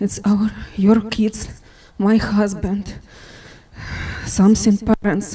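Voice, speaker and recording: With a non-native accent, a woman speaks at medium pitch with monotone, flat intonation, very slowly and with long, frequent pauses. Noticeable background noise runs underneath. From Ukraine. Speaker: widow of fallen worker. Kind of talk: memorial remarks. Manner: halting.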